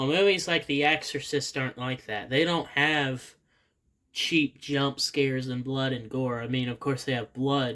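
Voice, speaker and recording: A man's bright, sharp tone at a fairly slow pace. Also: medium pitch for a man, fairly even intonation, very clean recording, silent background. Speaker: podcast co-host and YouTuber. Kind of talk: casual chat. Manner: stuttering.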